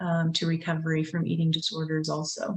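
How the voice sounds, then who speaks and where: Here a woman speaks in a fairly low pitch. Her pace is moderate. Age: 50s. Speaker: recovery advocate. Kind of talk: panel discussion.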